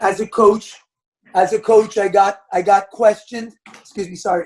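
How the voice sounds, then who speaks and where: At a moderate pace, a man talks in a high voice. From Quebec, Montreal. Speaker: basketball coach. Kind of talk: podcast interview. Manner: loud.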